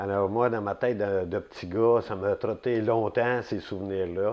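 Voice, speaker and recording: A man speaks at a very slow pace. His pitch is fairly low. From Quebec, Laurentides (Saint-Jérôme area). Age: 60s. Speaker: retired city employee, local elder. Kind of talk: oral history interview. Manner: hesitant, many fillers.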